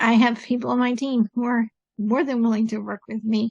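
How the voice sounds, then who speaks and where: The voice is somewhat breathy, with a dry, close sound and no echo. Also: woman. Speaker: podcast host. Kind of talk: casual chat. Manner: deliberately slowed pace.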